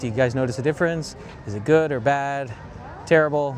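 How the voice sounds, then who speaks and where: Noticeable background noise lies under talk delivered at a fairly quick pace. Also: man. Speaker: tech reviewer vlogger. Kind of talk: casual vlog review. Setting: outdoors at a shopping center. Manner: shifting loud and soft to test mic. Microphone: walking far from camera, up to fifty feet.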